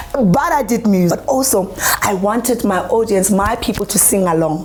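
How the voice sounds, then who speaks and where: A woman of medium pitch speaks at a moderate pace in an animated tone with lively intonation. Noticeable background noise is present. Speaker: poet and performer. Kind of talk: interview testimony. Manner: loud.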